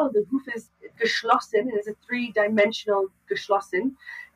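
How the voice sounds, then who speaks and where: A woman speaks at a moderate pace with lively intonation, and the sound is dry and close with no echo. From Canada. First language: English (also Dutch) (speaking German). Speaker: farrier. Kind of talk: casual interview. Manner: halting, mixing German, English and Dutch.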